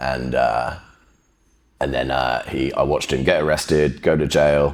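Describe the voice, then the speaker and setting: A man speaks with a very deep, low pitch and vocal fry. His intonation stays monotone and flat. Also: moderate pace. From England, Bristol. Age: 30s. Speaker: podcast guest, jiu-jitsu practitioner. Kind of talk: casual interview, personal story.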